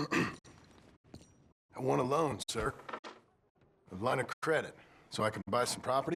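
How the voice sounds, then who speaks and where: Using a put-on character voice with a Western US accent, a man talks in a raspy, medium-pitched tone at a fairly slow pace, leaving long, frequent pauses. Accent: American western drawl. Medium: video game. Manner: plain-spoken, gruff.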